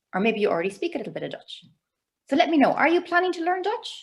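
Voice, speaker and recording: A woman speaks in an Irish accent. Her pitch swings very widely. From Ireland. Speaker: cross-cultural communication trainer. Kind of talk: webinar presentation. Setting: video call. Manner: animated.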